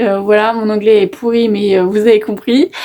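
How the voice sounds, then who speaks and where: A woman speaks with a fairly high pitch. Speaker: YouTuber. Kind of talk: casual vlog talk to camera. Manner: hesitant, many fillers.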